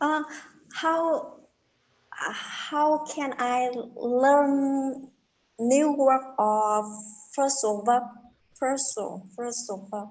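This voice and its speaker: Long, frequent pauses break up speech delivered at a very slow pace with ordinary pitch variation. The room echo is audible. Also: woman, high pitch for a woman. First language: not English. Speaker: English learner. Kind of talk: casual chat. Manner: halting.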